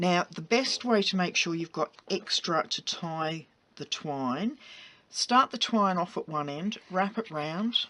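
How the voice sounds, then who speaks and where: Lively in intonation, a woman with an Australian accent speaks at a fairly slow pace and a fairly low pitch. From England. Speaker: craft tutorial host. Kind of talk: tutorial. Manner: casual, chatty.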